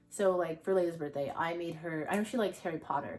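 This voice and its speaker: The voice shows ordinary pitch variation. Vocal fry is present. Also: woman. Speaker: lifestyle YouTuber. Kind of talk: casual vlog talk to camera. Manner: fast; rambling, halting with fillers.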